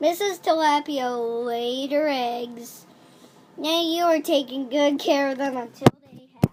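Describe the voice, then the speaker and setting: Using a put-on character voice, a woman speaks high and fairly slowly, with ordinary pitch variation and big swings in loudness. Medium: read story.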